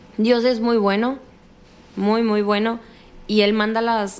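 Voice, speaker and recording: Speaking at a fairly slow pace, a woman talks with a northern Mexican accent. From Sinaloa, northern Mexico. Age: 20s. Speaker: cancer survivor. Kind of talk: interview testimony. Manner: direct, forceful.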